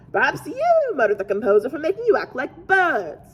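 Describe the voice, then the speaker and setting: The speaker uses a squeaky, put-on character voice. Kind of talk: children's story reading. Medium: read story.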